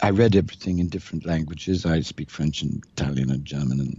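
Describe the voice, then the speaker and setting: A man speaks with an RP accent. His pace is fairly quick. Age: 60s. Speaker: mystic and author. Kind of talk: interview conversation. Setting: recorded conversation in Toronto. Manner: animated.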